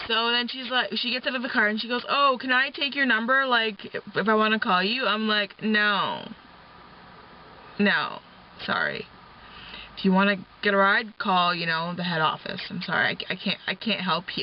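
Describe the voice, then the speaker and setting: Mumbled speech at a moderate pace is broken by long, frequent pauses. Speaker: vlogger and taxi driver. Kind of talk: casual vlog while driving. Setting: in a car. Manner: mumbling.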